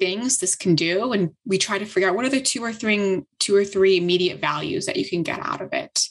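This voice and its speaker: A woman's lively intonation comes through with a quiet background. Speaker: tech startup co-founder; guest. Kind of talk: interview conversation. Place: home room. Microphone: video call.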